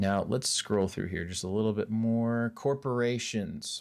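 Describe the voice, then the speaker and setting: With a very clean recording and a silent background, a man speaks at a fairly low pitch with ordinary pitch variation. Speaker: college instructor. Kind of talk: recorded lecture. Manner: fast.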